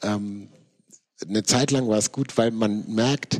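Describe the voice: A man's fairly low voice with a slightly mellow tone, fairly even intonation and a slow pace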